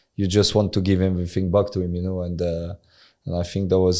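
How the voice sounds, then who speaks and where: In a French accent, a man with a very deep, low pitch and a dark, mellow tone talks at a fairly quick pace with monotone, flat intonation over a quiet background. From France. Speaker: former professional footballer. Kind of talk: interview. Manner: halting, many fillers.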